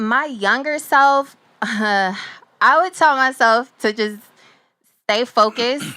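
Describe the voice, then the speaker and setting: This woman's high, bright, sharp voice has ordinary pitch variation and is broken by long, frequent pauses. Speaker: music producer and author. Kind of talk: casual interview chat. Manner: fast.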